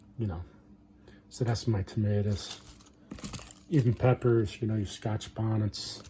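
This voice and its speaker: Somewhat breathy and dark, mellow in tone, a man speaks at a fairly low pitch with fairly even intonation and long, frequent pauses. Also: fairly slow pace. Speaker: home gardener, channel owner. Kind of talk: casual show-and-tell vlog. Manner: mumbling, hesitant with fillers.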